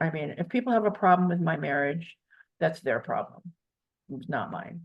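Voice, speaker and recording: In an American accent, a woman with a somewhat breathy, fairly low-pitched voice speaks at a moderate pace. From US Midwest, Michigan. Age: 70s. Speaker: interviewee. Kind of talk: interview.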